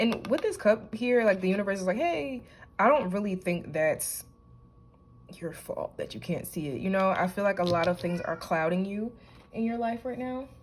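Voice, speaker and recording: Somewhat breathy, a woman talks at a moderate pace and medium pitch with lively intonation. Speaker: tarot reader. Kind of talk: intuitive tarot reading to camera. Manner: choppy, halting speech with stutters; casual, conversational.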